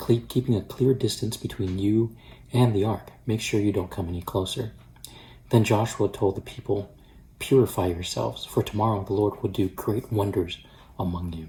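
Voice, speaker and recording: Soft-spoken and somewhat breathy, a man speaks with a dark, mellow tone, fairly low pitch, and fairly even intonation. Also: moderate pace. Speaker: pastor. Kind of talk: daily devotional with scripture reading. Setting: at home.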